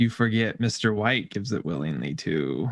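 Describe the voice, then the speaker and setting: Putting on a character voice, a man talks at a moderate pace and a fairly low pitch. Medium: actual play.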